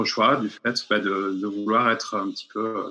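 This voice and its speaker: A man talks at a fairly slow pace with a bright, sharp tone. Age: 30s. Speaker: architect and urban planner, citizen assembly member. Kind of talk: interview. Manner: halting, many repetitions and fillers.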